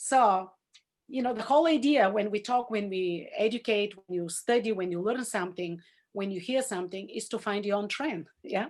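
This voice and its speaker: With a Bulgarian accent, a woman talks at a moderate pace in a fairly high pitch with ordinary pitch variation. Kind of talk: Zoom class talk. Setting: video call.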